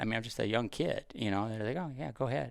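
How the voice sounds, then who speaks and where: The voice has vocal fry and moves at a very fast pace. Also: man. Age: 50s. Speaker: deer hunter and hunting TV host. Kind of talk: casual interview chat. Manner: halting, frequent fillers and restarts.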